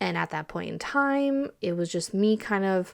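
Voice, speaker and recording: The speaker is a woman with a medium-pitched voice. She talks at a moderate pace. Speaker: podcast host. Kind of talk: casual chat. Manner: halting, many fillers.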